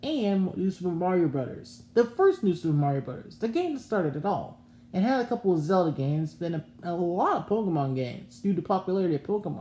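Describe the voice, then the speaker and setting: Her pitch swings very widely around a medium level. The woman's tone is dark and mellow. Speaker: gaming YouTuber. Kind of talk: casual video commentary. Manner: halting, stumbling over words.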